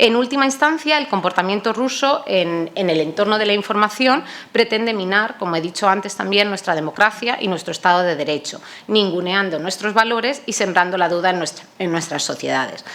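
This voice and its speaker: Hardly pausing, a woman talks at a fairly quick pace with lively intonation. Her pitch is medium, and there is noticeable background noise. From Spain, Toledo. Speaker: NATO public diplomacy coordinator, panelist. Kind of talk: conference panel talk. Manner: hesitant, many fillers.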